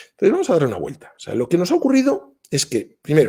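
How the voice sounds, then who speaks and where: Very wide pitch swings from a man at a moderate speed. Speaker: business school professor giving a talk. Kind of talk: online workshop talk. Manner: conversational with many fillers.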